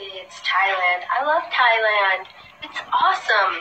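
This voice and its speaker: Over music in the background and with audible room echo, a woman speaks at a very slow pace. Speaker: live-stream host. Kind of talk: casual chat answering viewer questions. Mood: relaxed, cheerful. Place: home room. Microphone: phone near.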